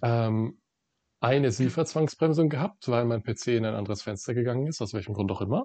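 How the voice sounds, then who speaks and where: Speaking at a fairly quick pace, a man has an ordinary speaking voice with medium pitch and ordinary pitch variation. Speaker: train simulator let's play host. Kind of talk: casual gaming commentary.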